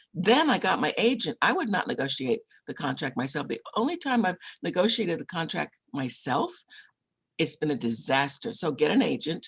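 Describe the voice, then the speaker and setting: Speaking at a moderate pace, a woman with a fairly low, somewhat breathy voice makes very wide pitch swings. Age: 70s. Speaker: author and book publisher. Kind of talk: interview. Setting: video call.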